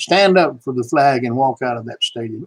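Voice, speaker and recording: A man speaks in a Southern US accent at a moderate pace. The sound is dry and close, with no echo. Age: 70s. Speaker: YouTube political commentator, veteran. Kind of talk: political rant vlog. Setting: live stream. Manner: animated.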